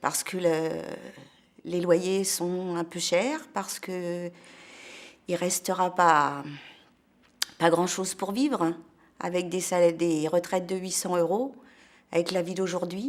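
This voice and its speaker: A woman speaks at a very slow pace with long, frequent pauses, her pitch fairly low with ordinary variation, in a very clean recording with a silent background. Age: 60s. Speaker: protester. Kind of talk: testimony. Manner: halting.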